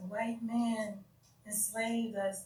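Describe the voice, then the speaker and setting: A woman's somewhat breathy, fairly high voice at a very slow pace, with audible room echo. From United States. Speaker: YouTube livestreamer discussing religion. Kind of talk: casual live stream talk. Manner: halting, stuttering.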